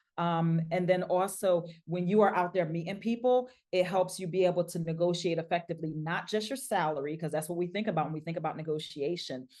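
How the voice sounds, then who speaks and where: The voice moves at a fairly quick pace with hardly any pauses. Its tone is dark and mellow, with ordinary pitch variation. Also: woman, fairly low pitch for a woman. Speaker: leadership coach. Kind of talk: webinar presentation. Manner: fast.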